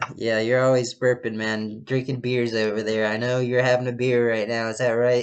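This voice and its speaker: Noticeable background noise accompanies a man speaking at a medium pitch and moderate pace in a monotone, flat intonation with hardly any pauses. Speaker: podcast host. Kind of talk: casual chat. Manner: loud; halting, many restarts. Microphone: laptop recording, own voice louder than call partner.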